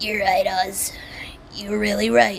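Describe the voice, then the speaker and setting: A raspy, female-sounding, put-on character voice comes through light background noise. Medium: solo performance. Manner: nervous, hesitant.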